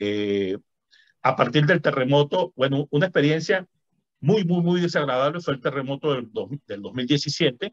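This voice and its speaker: A man with a normal speaking voice, fairly high in pitch, with lively intonation and a moderate pace. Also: dry, close sound with no echo. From Venezuela. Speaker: physician and author. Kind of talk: interview conversation.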